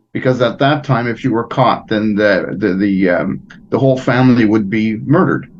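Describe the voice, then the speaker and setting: A man with a Montreal accent speaks at a moderate pace. His pitch varies in an ordinary way. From Quebec, Montreal. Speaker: fraternal organization president. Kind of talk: interview. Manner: halting.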